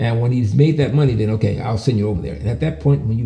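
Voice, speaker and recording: Over music in the background, a man talks at a very fast pace in a fairly low pitch, with very wide pitch swings. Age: 70s. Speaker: patient sharing health experience. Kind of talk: testimony. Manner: halting.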